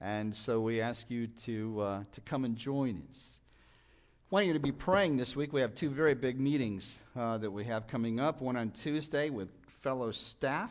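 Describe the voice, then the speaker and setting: At medium pitch and a moderate pace, a man talks in an unremarkable speaking voice. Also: ordinary pitch variation, quiet background. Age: 60s. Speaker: guest preacher. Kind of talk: sermon. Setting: church.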